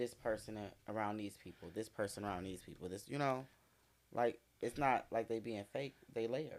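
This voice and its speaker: A man is speaking. His pace is moderate. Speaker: client in a shop. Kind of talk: casual chat. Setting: shop. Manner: animated.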